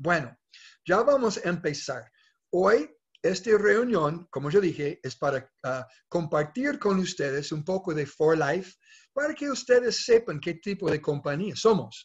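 A man's high-pitched voice with very wide pitch swings at a fairly slow pace over a quiet background. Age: 60s. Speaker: network marketing leader. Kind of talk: sales pitch. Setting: video call. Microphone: video call.

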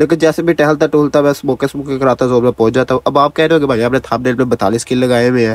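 A man talks at a fast pace, his medium-pitched voice holding a fairly even intonation.

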